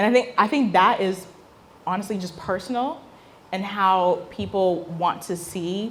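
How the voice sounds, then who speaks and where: Her voice is somewhat breathy and medium in pitch, and the woman speaks in an animated tone with ordinary pitch variation. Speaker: business founder and speaker. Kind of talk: talk Q&A with audience. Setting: stage with audience.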